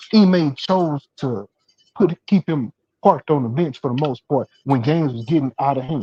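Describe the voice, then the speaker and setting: A man speaks with a fairly high pitch and lively intonation. His tone is dark and mellow, somewhat breathy. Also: dry, close sound with no echo. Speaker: sports talk show host. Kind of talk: heated debate. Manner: halting, many repetitions and fillers; fast.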